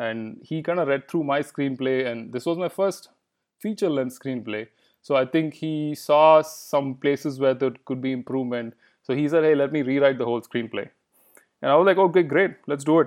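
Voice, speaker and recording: A man with a Kannada accent speaks at a moderate pace, his fairly high pitch showing ordinary variation. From India, Bangalore. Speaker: filmmaker. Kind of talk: interview.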